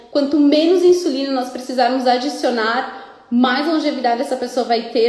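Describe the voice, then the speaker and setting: A woman's high voice carries lively intonation. Audible room echo and noticeable background noise surround it. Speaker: nutritionist. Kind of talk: live stream Q&A. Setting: live video stream.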